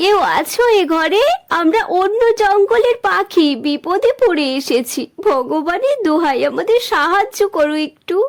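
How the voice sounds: A cartoonish character voice at a fairly slow pace, with lively intonation and few pauses. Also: woman, extremely high pitch for a woman.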